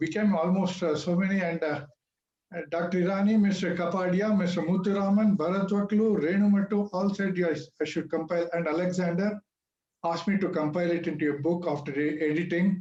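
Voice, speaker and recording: With an Indian accent, a man speaks at a high pitch and a fairly quick pace. His tone is dark and mellow, and his intonation fairly even. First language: not English. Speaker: author. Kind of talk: speech at book launch.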